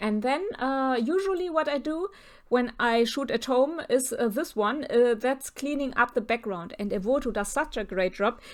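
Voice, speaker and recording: A woman with a non-native accent speaks at a high pitch. She keeps a moderate pace and lively intonation. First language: German. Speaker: portrait photographer. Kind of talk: tutorial. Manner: halting, with many fillers.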